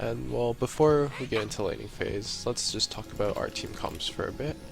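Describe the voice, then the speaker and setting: A man speaks quietly. Music plays in the background. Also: moderate pace. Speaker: gamer. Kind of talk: live gameplay commentary.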